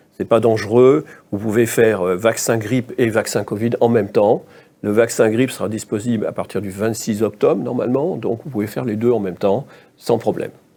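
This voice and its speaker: At a fairly quick pace, the speaker uses fairly even intonation and a dark, mellow tone. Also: man, medium pitch for a man. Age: 60s. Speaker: infectious disease doctor. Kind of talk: interview. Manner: halting.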